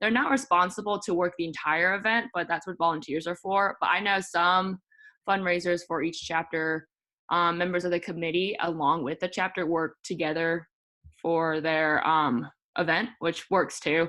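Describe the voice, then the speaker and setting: A woman's fairly low voice with ordinary pitch variation. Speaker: student presenter. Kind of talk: presentation. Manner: fast; halting.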